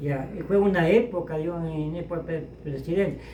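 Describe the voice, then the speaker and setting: A man's voice against noticeable background noise. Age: 80s+. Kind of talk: interview answer.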